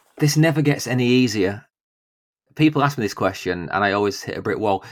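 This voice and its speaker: A man speaks with a British accent at a medium pitch. His intonation is lively, and the recording is very clean with a silent background. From UK. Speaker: podcast host. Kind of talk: casual chat.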